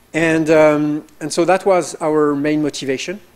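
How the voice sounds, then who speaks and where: A man with a French accent, fairly high pitch and a fairly slow pace. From France. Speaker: professor. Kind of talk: information session presentation. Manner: hesitant, many fillers.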